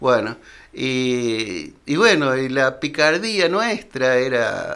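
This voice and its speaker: This is a man at medium pitch. He speaks with lively intonation. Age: 70s. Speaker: retired teacher. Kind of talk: interview. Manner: halting.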